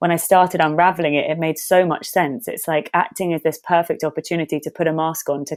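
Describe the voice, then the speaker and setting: A woman with a London accent talks at a fairly quick pace in a fairly low pitch and monotone, flat intonation, on a very clean recording with a silent background. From London, Hackney (England). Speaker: actor and meditation teacher. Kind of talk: podcast interview.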